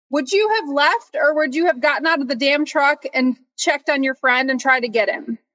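High in pitch, a woman's voice comes across with a bright, sharp tone. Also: ordinary pitch variation, fairly quick pace. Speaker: movie podcast host. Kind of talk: casual chat. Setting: video call.

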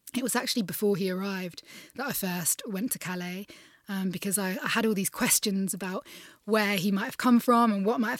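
On a very clean recording with a silent background, a woman talks in a southern English accent. Her pitch is medium with ordinary variation, and her pace is fairly quick. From England. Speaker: refugee charity founder. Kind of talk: interview. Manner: hesitant, many fillers.

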